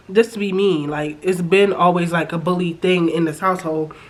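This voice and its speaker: Noticeable background noise sits behind a woman's voice. She talks at a fairly quick pace and a medium pitch. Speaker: YouTuber reality TV reviewer. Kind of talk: casual recap commentary. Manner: animated.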